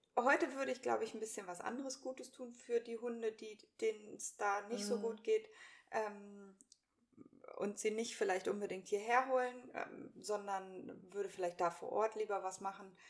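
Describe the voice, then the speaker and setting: Speaking at a moderate pace, a woman with a normal speaking voice sounds fairly high in pitch, with ordinary pitch variation. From Hannover, northern Germany. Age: 30s. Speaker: podcast co-host, virtual assistant. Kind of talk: casual chat.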